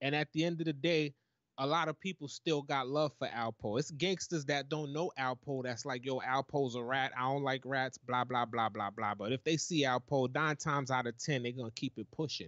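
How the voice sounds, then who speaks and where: Hardly pausing, a man talks at a moderate pace with a medium pitch and ordinary pitch variation. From Brooklyn, New York. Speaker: YouTube commentator. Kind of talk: casual panel discussion. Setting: online livestream.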